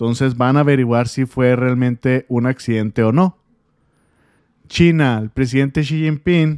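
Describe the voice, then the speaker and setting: On a dry, close sound with no echo, a man with an unremarkable speaking voice talks at a medium pitch and fairly slow pace, his intonation fairly even. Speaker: political news commentator. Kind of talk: news commentary monologue.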